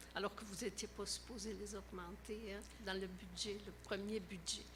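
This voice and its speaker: A woman talks at a fairly slow pace. The room echo is audible. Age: 70s. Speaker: resident asking a question. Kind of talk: public question at council meeting.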